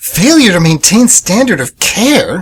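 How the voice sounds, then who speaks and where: This man uses a put-on character voice pitched high. He moves along at a fairly slow pace. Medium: audio drama. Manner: flustered, stammering.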